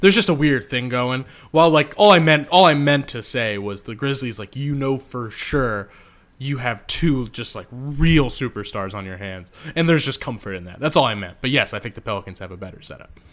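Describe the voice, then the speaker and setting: A man with a plain, everyday voice speaks at a medium pitch and a fairly quick pace, his intonation lively and his loudness swinging widely, on a very clean recording with a silent background. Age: 20s. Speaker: sports journalist and podcast co-host. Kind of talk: casual chat.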